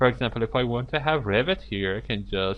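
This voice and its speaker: A man speaks with a non-native accent. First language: not English. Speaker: software tutorial instructor. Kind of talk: screen-recorded tutorial. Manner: halting, many fillers.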